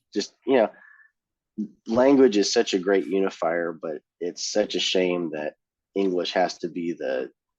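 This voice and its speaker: Against a quiet background, a man with a Californian accent talks at a fairly slow pace, leaving long, frequent pauses. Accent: California. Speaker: punk band singer. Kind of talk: casual chat. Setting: podcast interview.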